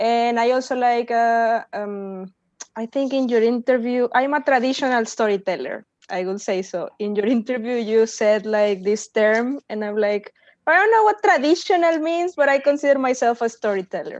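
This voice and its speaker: Someone with a Spanish accent speaks at a moderate pace with ordinary pitch variation. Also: woman, high pitch for a woman. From Mexico. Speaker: workshop participant, philosophy graduate student. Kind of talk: self-introduction in online workshop.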